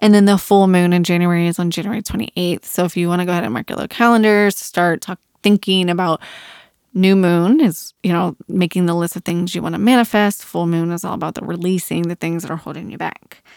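At a fairly quick pace, a woman with a fairly low pitch speaks in a dry, close sound with no echo, in a very clean recording with a silent background. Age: 40s. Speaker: podcast host. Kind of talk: solo casual monologue. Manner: animated.

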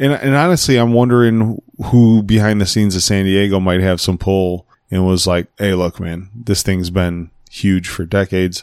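A man's normal speaking voice, fairly low in pitch, with ordinary pitch variation at a moderate pace in a dry, close sound with no echo. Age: 40s. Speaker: podcast co-host. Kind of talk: casual chat.

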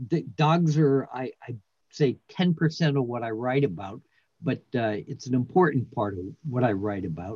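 Using a normal speaking voice, a man talks at a moderate pace and medium pitch. His intonation is lively. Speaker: poet and writer. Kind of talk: casual interview chat.

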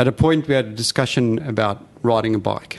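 In a South African accent, a man speaks at a moderate pace. His medium pitch shows ordinary variation. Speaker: former company CEO with spinal cord injury. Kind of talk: interview conversation.

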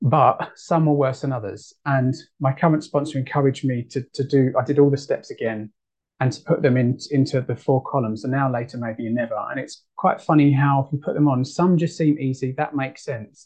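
This man's somewhat breathy voice sits fairly high in pitch, moving at a fairly quick pace with fairly even intonation. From United Kingdom. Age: 30s. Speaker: twelve-step meeting speaker. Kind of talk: recovery share. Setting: video call.

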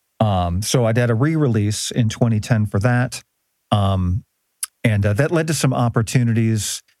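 A man speaks with a plain, everyday voice at a medium pitch and a moderate pace. His pitch varies in an ordinary way, and his loudness stays very even. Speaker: musician. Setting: studio. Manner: joking, playful.

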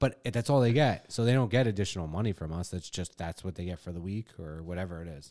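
A man's very deep, low voice with a dark, mellow tone and a New York accent, very fast and lively with hardly any pauses, on a very clean recording over a silent background. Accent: New York, drops the R. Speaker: podcast host. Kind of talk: casual chat. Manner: profane, jokey.

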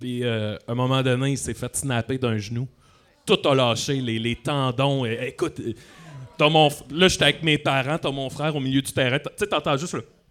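A man at a medium pitch, in a Quebec accent. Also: ordinary pitch variation, moderate pace. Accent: Québécois French. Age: 30s. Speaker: comedian. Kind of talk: live podcast interview. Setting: stage with audience.

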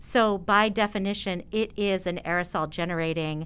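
On a very clean recording with a silent background, a woman speaks at a very slow pace with ordinary pitch variation. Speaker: speech pathologist. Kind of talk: interview.

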